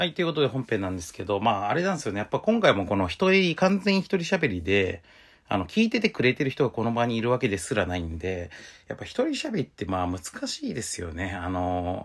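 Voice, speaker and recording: A man's mid-range voice races along very fast, leaping across a very wide span of pitch. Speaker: podcast host and game designer. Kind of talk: solo podcast talk. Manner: hesitant, many fillers.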